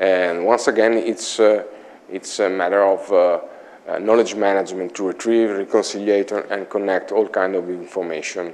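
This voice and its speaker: A man with an Italian accent, fairly low in pitch, in a monotone, flat intonation. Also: moderate pace. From Italy, Imola; Italy. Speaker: IT consultant; conference presenter. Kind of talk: conference talk. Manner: halting. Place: meeting room. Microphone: lapel.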